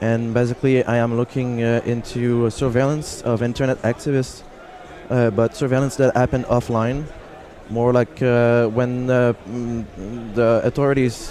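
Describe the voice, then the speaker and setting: A man speaks at medium pitch in a monotone, flat intonation. Noticeable background noise is present. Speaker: activist and graduate student. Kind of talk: interview. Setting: live at a conference, noisy hall.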